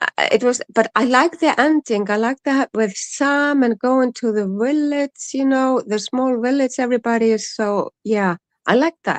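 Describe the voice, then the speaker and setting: A woman's high voice in an Icelandic accent, fairly slow with hardly any pauses, ordinary pitch variation, and a dry, close sound with no echo. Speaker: streamer's mother, co-host. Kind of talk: casual chat. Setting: live stream. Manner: halting.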